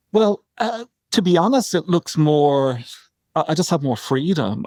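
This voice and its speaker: A man speaks at a high pitch, fairly slowly, with very wide pitch swings. The recording is very clean and silent behind him, dry and close with no echo. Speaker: tarot card reader. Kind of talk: podcast interview answer.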